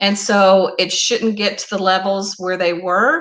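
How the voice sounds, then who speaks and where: In an Oklahoma accent, a woman talks at a fairly slow pace with a bright, sharp tone. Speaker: YouTuber hosting a live stream. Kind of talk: casual live stream chat.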